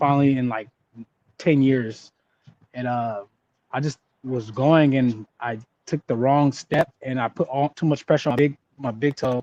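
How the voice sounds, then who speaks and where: Speaking with an American accent, a man uses a medium pitch and a dark, mellow tone. Long, frequent pauses mark his speech, and the sound is dry and close with no echo. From Southern California (Ontario, CA). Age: 20s. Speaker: former pro football player. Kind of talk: interview. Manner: halting, many fillers.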